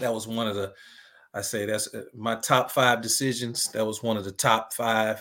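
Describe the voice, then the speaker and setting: A man with a medium-pitched, bright, sharp voice speaks at a moderate pace in a flat monotone, recorded very cleanly against a silent background. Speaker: basketball coach and ministry director. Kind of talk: casual interview.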